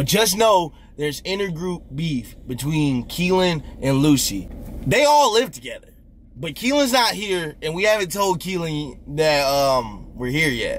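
A man's fairly slow delivery with very wide pitch swings, a dry sound with no echo, and light background noise. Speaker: vlogger. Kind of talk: casual vlog chat. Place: car. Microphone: phone near.

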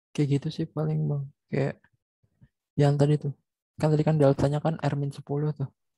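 A man with a fairly high pitch and a dark, mellow, somewhat breathy tone speaks in monotone, flat intonation at a moderate pace with long, frequent pauses, his sound dry with no echo over a quiet background. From Indonesia. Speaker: student; student tutor. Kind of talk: classroom question. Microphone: video call.

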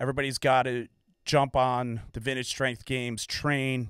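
Over a quiet background with dry, echo-free sound, a man talks at a moderate pace in a monotone, flat intonation. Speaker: podcast host. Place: studio. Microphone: studio mic.

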